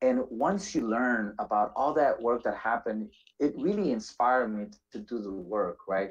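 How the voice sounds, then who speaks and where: The intonation is lively and the pace moderate. Loudness swings widely over a quiet background. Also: man. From Washington D.C., Salvadoran family. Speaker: nonprofit executive director; panelist. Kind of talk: panel discussion. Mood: calm, reflective. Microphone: video call.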